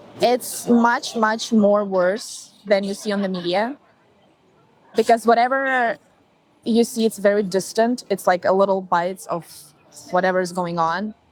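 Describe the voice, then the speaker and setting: A woman's medium-pitched voice in a Ukrainian accent, at a fairly slow pace with ordinary pitch variation and long, frequent pauses. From Ukraine, Zaporizhzhia. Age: 20s. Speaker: interviewee. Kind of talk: interview. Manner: halting.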